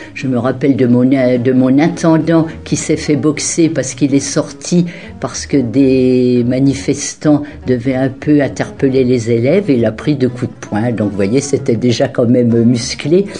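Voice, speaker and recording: Music plays in the background as a woman speaks at a fairly slow pace. Her pitch is very deep and low, with ordinary variation. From France, Champagne (Marne). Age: 70s. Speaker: retired teacher. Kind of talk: testimony. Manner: halting.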